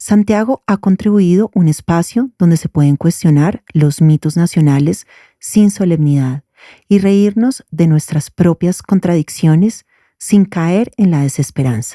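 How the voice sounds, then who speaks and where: The recording is very clean with a silent background, and the sound is dry and close with no echo. A woman speaks in a dark, mellow tone with lively intonation and very even loudness. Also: fairly low pitch for a woman, fairly slow pace. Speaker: podcast host. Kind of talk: podcast intro and interview question.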